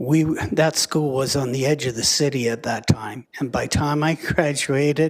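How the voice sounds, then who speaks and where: A man with a Canadian accent and a plain, everyday voice talks at a moderate pace in a fairly high pitch with fairly even intonation. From Canada, Lethbridge, Alberta. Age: 60s. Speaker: school division official. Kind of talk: council meeting presentation.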